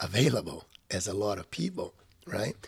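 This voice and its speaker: A somewhat breathy male voice. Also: very clean recording, silent background. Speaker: creativity coach, podcast co-host. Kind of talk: casual chat. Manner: high-energy.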